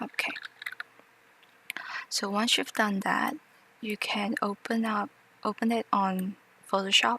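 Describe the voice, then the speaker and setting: A woman's fairly high voice, fairly slow and with long, frequent pauses, fairly even intonation, and noticeable background noise. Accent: non-native. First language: not English. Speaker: tutorial maker. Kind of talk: tutorial. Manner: hesitant, many fillers.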